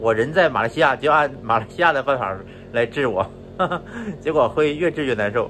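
A man talks fairly quickly with lively intonation while noticeable background noise carries on. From northeast China. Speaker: travel and food vlogger. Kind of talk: casual solo vlog monologue. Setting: at home in Malaysia, lying down. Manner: casual, chatty, laughs often.

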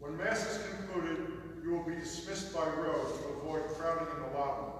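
Strong room echo with light background noise. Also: man. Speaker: church announcer at lectern. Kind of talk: formal announcements. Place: church.

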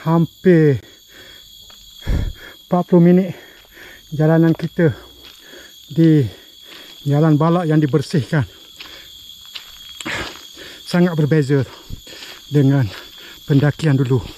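Over light background noise, a man talks at a very slow pace with long, frequent pauses, very even loudness and ordinary pitch variation, the sound dry with no echo. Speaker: hiking vlogger. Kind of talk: casual vlog chat. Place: forest. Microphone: phone near.

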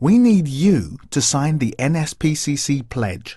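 A man's fairly high, somewhat breathy voice with a dark, mellow, serious tone and very wide pitch swings, in a dry sound with no echo against a quiet background. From England. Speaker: voice actor. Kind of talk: charity appeal read. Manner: serious, informative. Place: studio.

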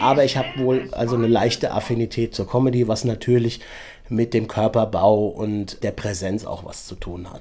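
With an unremarkable speaking voice, a man talks at a moderate pace with fairly even intonation and big swings in loudness. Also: medium pitch for a man. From Frankfurt-Sachsenhausen. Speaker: actor. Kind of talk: interview answer.

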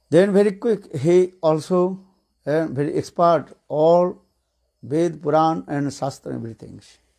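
Over a quiet background, a man with a dark, mellow tone and fairly high pitch speaks at a very slow pace with ordinary pitch variation. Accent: Indian English. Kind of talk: lecture with consecutive translation. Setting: stage with audience. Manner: halting. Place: home room. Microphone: handheld.

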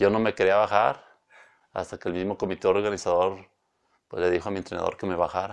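Against a quiet background, a man with a fairly low pitch talks very fast in a monotone, flat delivery. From Mexico, Villanueva. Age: 40s. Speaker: professional cyclist. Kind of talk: interview. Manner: halting. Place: studio. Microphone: lapel.

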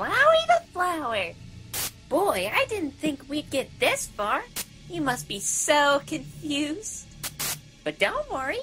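Someone speaks fairly slowly in a put-on character voice over clear background noise. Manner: falsely cheerful, mocking, menacing.

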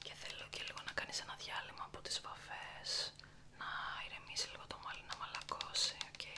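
A soft-spoken woman at a moderate pace over loud background noise. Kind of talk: soft-spoken roleplay chat. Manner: soft, intimate ASMR speaking voice. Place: home room.

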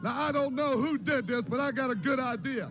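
Over noticeable background noise, a man talks at an extremely high pitch with ordinary pitch variation. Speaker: professional wrestler. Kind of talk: wrestling promo. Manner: angry, intense. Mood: angry, aggrieved. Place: studio. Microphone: handheld.

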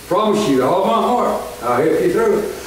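A man's high-pitched voice at a moderate pace, with lively intonation and audible room echo

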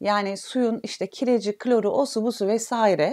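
Against a quiet background, a woman speaks at a fairly slow pace. Her voice is fairly high, with a dark, mellow tone. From Turkey. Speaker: physiotherapist; physiotherapist instructor. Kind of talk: online health talk. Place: home room.

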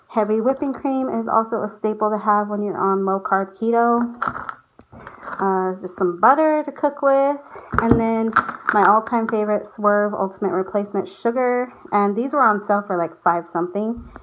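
A woman talks at a moderate pace with ordinary pitch variation. Background noise is noticeable. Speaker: vlogger. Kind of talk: casual vlog chat. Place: home room. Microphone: phone near.

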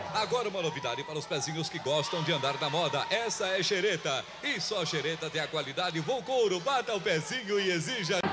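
A man with a high pitch talks at a fairly quick pace, with hardly any pauses. His intonation is lively, and noticeable background noise is present. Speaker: TV announcer. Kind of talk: TV commercial read.

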